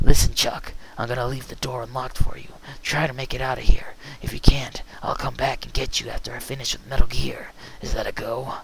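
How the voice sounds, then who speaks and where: Whispering comes through in a put-on character voice. The whole delivery is whispered in that character. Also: man, fairly quick pace. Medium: read story. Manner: calm, soft-spoken with comrades.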